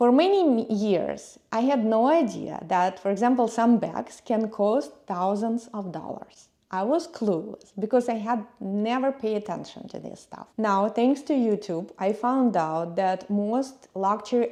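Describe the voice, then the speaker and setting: Speaking at a fairly slow pace with hardly any pauses, the woman has a fairly high pitch, ordinary pitch variation and a dark, mellow tone. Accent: non-native. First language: not English. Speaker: YouTube travel and lifestyle vlogger. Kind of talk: personal vlog monologue.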